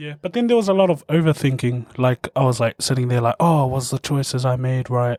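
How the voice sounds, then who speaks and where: In a New Zealand accent, a man of medium pitch talks at a fairly quick pace with hardly any pauses and ordinary pitch variation, in a dry, close recording with no echo. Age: 20s. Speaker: opera singer. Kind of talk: casual chat.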